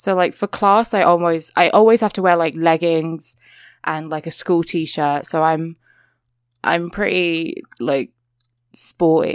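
Speaking at a very slow pace in a British accent, a woman has a fairly low pitch with ordinary variation, on a very clean recording with a silent background. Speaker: podcast co-host guest. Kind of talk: casual chat.

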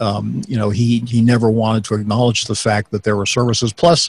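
At a moderate pace, a man speaks at a fairly low pitch with little pitch movement.

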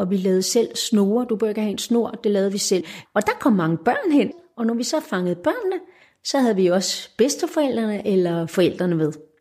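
Her tone dark and mellow, a woman with a fairly high pitch talks at a fairly quick pace with lively intonation. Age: 60s. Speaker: retired educator and volunteer activist. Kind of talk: casual interview. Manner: halting.

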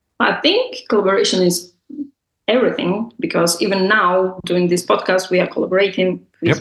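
Speaking with a Russian accent, a woman holds a medium pitch and a moderate pace. Her intonation is fairly even and her loudness very even. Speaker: bar entrepreneur and public speaker. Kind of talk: interview.

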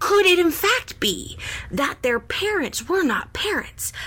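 An extremely high-pitched put-on character voice at a fairly slow pace, over light background noise. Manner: dramatic, mock-serious.

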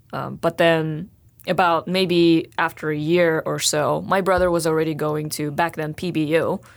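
At a moderate pace, a woman with a Russian accent talks in a very deep, low pitch. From Russia, Sakhalin island. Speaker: graduate student. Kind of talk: interview.

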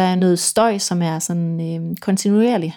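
On a very clean recording with a silent background, a woman of medium pitch speaks in a dark, mellow tone at a fairly slow pace with fairly even intonation. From Denmark, Vendsyssel (north Jutland west coast). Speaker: violinist and composer. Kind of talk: interview conversation.

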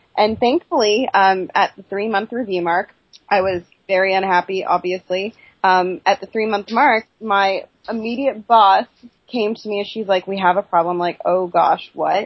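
A medium-pitched woman's voice with fairly even intonation. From Canada, Ontario. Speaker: actress and filmmaker. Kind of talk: casual chat. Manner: fast.

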